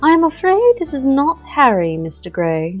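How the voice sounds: A shrill, female-sounding put-on character voice, high-pitched, raised and projected, with very wide pitch swings at a moderate pace over faint music in the background.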